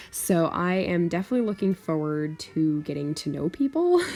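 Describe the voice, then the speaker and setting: The tone is dark and mellow. Pitch varies in an ordinary way. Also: woman. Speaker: aspiring author and YouTuber. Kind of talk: casual vlog talk to camera. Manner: stammers, trips over words; hesitant, many fillers.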